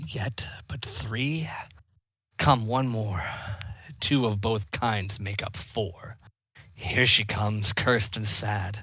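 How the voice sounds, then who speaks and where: A man's put-on character voice, fairly low in pitch, very slow, with long, frequent pauses. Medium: game stream. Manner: playful, giggling.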